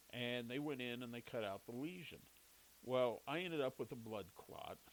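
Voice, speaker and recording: Male speech in the medium range, moderately paced, with ordinary pitch variation. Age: 60s. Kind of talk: personal monologue. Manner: casual, halting.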